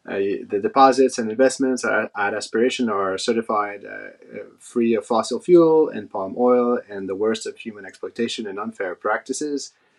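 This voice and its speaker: Talking at a moderate pace with hardly any pauses, a man at a medium pitch shows big swings in loudness. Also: ordinary pitch variation. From Quebec City, Canada. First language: French. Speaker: head of CRM. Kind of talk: panel discussion.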